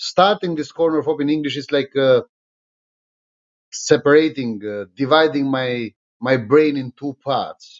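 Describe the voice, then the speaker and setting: Speech in an Albanian accent with ordinary pitch variation and long, frequent pauses. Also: man, fairly high pitch for a man, fairly slow pace. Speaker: politician. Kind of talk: live stream monologue. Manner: halting, many fillers.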